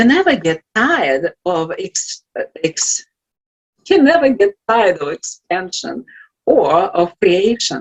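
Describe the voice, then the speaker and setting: In a Russian accent, a woman speaks at a very slow pace with very wide pitch swings. The sound is dry and close, with no echo. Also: medium pitch for a woman. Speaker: life coach. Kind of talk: inspirational talk. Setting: virtual event.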